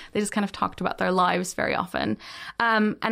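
Talking at a fairly quick pace in a Dutch accent, the speaker keeps a monotone, flat intonation on a very clean recording with a silent background. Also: woman. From Netherlands. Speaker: YouTuber and digital producer. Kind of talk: interview conversation.

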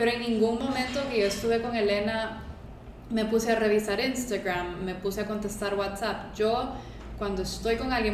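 With a Honduran accent, a woman talks fairly quickly at a fairly high pitch and with fairly even intonation, over noticeable background noise and audible room echo. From Honduras. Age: 20s. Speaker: social media content creator. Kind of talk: casual chat.

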